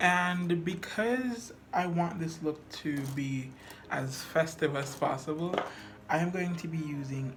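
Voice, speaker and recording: Someone with a Jamaican accent speaks at a very slow pace while music plays in the background. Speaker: makeup artist. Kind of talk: makeup tutorial talk to camera. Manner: casual, chatty.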